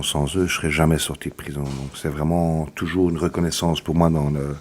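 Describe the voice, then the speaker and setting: Over noticeable background noise, a man with a very deep, low pitch talks at a fairly quick pace in a flat monotone. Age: 40s. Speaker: former prisoner and educator. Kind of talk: testimony. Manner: halting.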